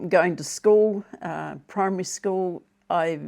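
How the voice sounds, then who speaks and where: Speaking with a New Zealand accent over a quiet background, a woman has a fairly low, dark, mellow voice and fairly even intonation. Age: 70s. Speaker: retiree vlogger. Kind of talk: casual monologue. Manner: halting with fillers and repetitions.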